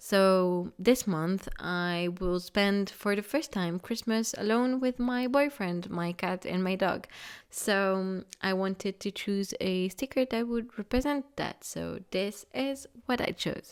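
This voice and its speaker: Very slowly and with hardly any pauses, a woman speaks in a French accent with ordinary pitch variation. The recording is very clean, with a silent background. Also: medium pitch for a woman. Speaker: craft YouTuber. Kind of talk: tutorial. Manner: hesitant, with fillers.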